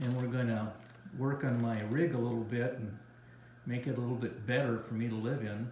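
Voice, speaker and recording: Heard through audible room echo and noticeable background noise, a man of medium pitch talks at a fairly quick pace with fairly even intonation. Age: 70s. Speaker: travel vlogger. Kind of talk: casual chat.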